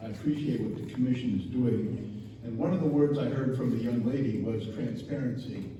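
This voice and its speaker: With an American accent, a man at medium pitch talks at a fairly quick pace and ordinary pitch variation, with noticeable background noise and audible room echo. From Chicago, southeast side. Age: 70s. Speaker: resident giving public comment. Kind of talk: public comment.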